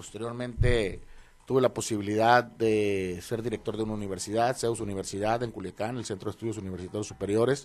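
A man talks fairly quickly in a fairly low, monotone voice with flat intonation. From northern Mexico, Los Mochis, Sinaloa. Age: 50s. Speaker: politician, mayoral candidate. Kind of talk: radio interview. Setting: radio studio.

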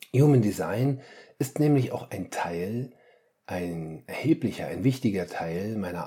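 Very slowly and somewhat breathily, a man speaks in a dark, mellow tone at a fairly low pitch with lively intonation. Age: 50s. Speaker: family coach and podcast host. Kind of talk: solo podcast monologue. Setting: home, attic apartment. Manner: animated.

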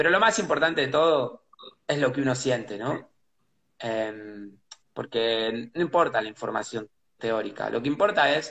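A man in a Rioplatense accent, with lively intonation. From Buenos Aires, Argentina. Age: 30s. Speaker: pianist and composer. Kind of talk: casual interview. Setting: live video stream. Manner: halting, repeats words.

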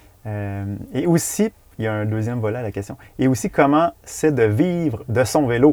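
Speaking at a moderate pace with a Quebec accent, a man uses lively intonation and a medium pitch, his tone dark and mellow. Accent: Québécois French. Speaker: podcast host. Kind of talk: casual interview chat. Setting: in a parked van.

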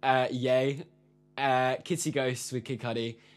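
Music plays in the background. The speech goes at a moderate pace. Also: man. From London. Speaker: musician. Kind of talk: casual chat.

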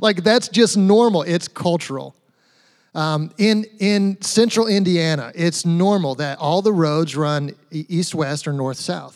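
The pace stays moderate. It is a plain, everyday voice. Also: man. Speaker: pastor. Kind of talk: sermon. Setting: church.

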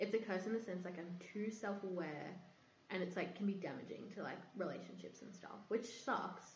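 A woman with an Australian accent speaks at a fairly quick pace and medium pitch. Her intonation stays fairly even, and the room echo is audible. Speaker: podcast guest. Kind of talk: casual chat. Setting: echoey room. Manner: frequent laughter.

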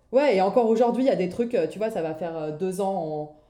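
There is audible room echo as a woman of medium pitch speaks at a moderate pace with lively intonation. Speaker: entrepreneur. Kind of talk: casual chat. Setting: remote recording. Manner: halting.

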